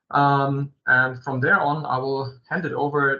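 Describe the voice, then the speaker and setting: A non-native accent at a fairly slow pace. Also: man. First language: German. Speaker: company executive presenting a webinar. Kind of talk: webinar presentation. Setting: online video meeting. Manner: halting, many fillers.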